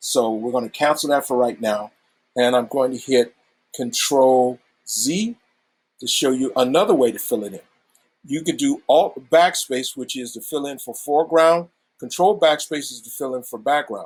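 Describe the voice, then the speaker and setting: With big swings in loudness, a man speaks in a fairly high voice with ordinary pitch variation. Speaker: teacher. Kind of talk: tutorial. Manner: fast.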